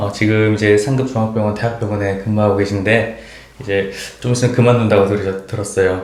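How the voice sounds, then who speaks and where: At a fairly quick pace, a man speaks with a fairly low pitch and monotone, flat intonation over noticeable background noise. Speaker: nurse. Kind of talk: interviewer.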